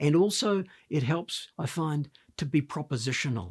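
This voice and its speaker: The recording is very clean, with a silent background. A man speaks at a fairly high pitch with lively intonation. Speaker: leadership consultant. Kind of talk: talking-head advice talk. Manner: animated.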